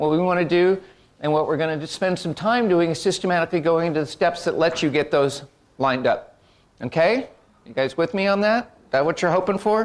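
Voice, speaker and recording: Moving at a fairly quick pace, a man talks at a high pitch with ordinary pitch variation. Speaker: workshop presenter. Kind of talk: workshop presentation. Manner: fast; animated.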